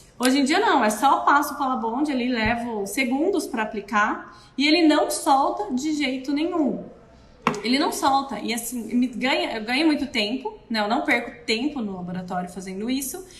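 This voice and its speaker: A woman speaks at a moderate pace in a high voice. There is noticeable background noise and audible room echo. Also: lively intonation. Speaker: dental prosthetics technician. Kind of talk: live stream tutorial. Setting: live video stream.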